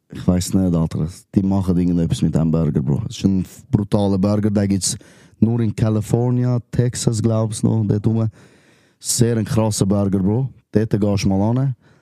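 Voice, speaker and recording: With a Zurich accent, a man speaks at a moderate pace in a fairly low voice with a dark, mellow tone and ordinary pitch variation. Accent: Swiss German, Zurich. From Switzerland, Wetzikon area (Zurich Oberland). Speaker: rapper. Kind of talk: casual chat.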